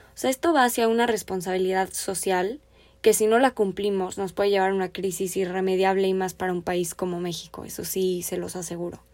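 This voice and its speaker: A woman with a plain, everyday voice at a fairly quick pace and fairly even intonation, on a very clean recording with a silent background. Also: medium pitch for a woman. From Mexico. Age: 20s. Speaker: podcast host and finance student. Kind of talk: solo podcast monologue.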